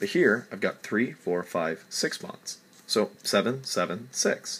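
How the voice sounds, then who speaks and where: A man talks while noticeable background noise is heard throughout. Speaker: chemistry tutor. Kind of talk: tutorial. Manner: halting.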